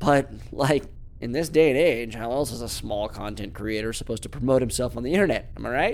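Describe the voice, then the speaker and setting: A man talks fairly quickly. His voice has vocal fry. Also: medium pitch for a man, ordinary pitch variation. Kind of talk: horror fiction reading. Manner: warm, storytelling read, gentle and emotive.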